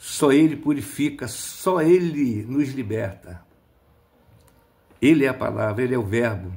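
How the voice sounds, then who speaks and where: Lively in intonation yet somewhat breathy, a man speaks at a fairly slow pace with long, frequent pauses. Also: medium pitch for a man. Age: 60s. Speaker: lay preacher. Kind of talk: sermon. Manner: animated.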